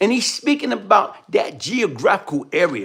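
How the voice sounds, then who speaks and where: A man's animated tone at a high pitch, with very wide pitch swings and a moderate pace. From New York. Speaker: commentary livestream host. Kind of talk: live commentary.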